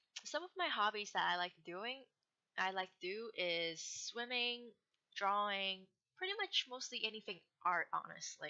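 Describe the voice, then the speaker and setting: A woman with a Hong Kong accent at medium pitch, moderate pace and lively intonation. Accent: noticeable Hong Kong accent in English. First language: Cantonese. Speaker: gamer vlogger, student. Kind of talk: casual self-introduction vlog. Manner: hesitant, with fillers and restarts.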